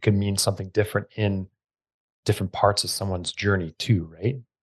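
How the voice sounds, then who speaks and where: Against a quiet background, a man speaks in a fairly low, somewhat breathy voice with fairly even intonation, the sound dry and close with no echo. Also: big swings in loudness. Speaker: podcast host and gym owner. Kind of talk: casual interview.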